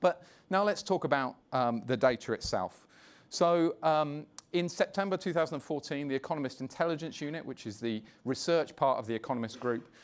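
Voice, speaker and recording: With a British accent, a man speaks at a fairly quick pace in a fairly high pitch and lively intonation, on a very clean recording with a silent background. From London, England. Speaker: media executive. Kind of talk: conference presentation.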